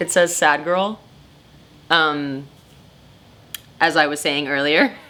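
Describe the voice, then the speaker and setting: Loud and very slow, a woman speaks in a very deep, low pitch with a bright, sharp tone and fairly even intonation. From Costa Rica. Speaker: photographer. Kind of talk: interview. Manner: casual, halting with fillers.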